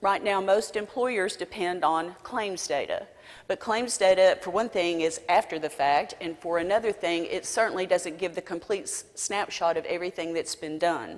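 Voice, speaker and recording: In a Southern US accent, a woman with a medium pitch speaks at a moderate pace with ordinary pitch variation and hardly any pauses. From South Carolina. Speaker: business coalition president. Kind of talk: conference talk.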